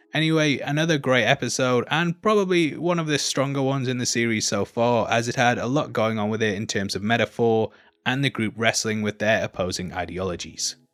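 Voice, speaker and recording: With a British accent, a man talks at a fairly quick pace with lively intonation and hardly any pauses. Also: medium pitch for a man. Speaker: YouTube film and TV reviewer. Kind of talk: scripted commentary.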